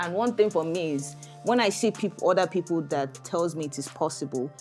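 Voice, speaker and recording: Music plays behind a woman talking at a fairly quick pace. Her pitch is fairly low and her intonation lively. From Nigeria. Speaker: immigration lawyer. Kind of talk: podcast interview answer.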